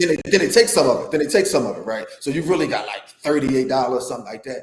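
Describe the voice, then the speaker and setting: A man is speaking. His intonation is lively. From Philadelphia, South Philly. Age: 40s. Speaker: former pro basketball player, player development coach. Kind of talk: casual interview chat. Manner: animated storytelling with many repetitions.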